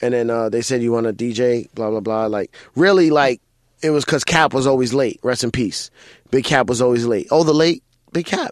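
A man with a New York accent speaks at a medium pitch with ordinary pitch variation, his voice dry and close with no echo over a quiet background. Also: moderate pace. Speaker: DJ and comedian. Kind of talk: casual chat.

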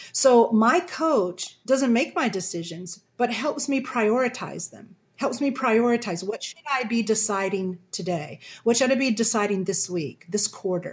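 This woman speaks at a fairly slow pace with hardly any pauses, her fairly high pitch carried by lively intonation. Her somewhat breathy voice shows big swings in loudness. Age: 60s. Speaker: communication coach. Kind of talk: interview.

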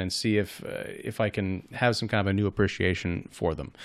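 An ordinary speaking voice with fairly even intonation. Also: man. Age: 40s. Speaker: film critic. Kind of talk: casual chat.

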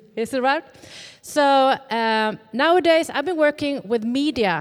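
A woman speaks with a Swedish accent and lively intonation. Her pace is fairly slow. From Sweden. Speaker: pastor's wife and journalist. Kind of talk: church greeting. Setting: church.

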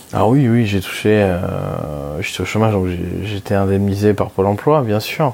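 A man with a fairly low voice talks at a moderate pace, his pitch showing ordinary variation. Noticeable background noise sits under the speech. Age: 20s. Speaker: personal finance podcaster. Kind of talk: solo monologue. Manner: halting, many fillers.

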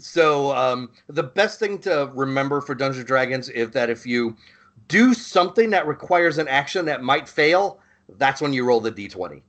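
At a moderate pace, a man in an ordinary speaking voice talks with lively intonation and a fairly high pitch. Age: 40s. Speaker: podcast host, Marine veteran. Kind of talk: casual chat.

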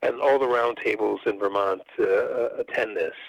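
What you hear is plain reading aloud.

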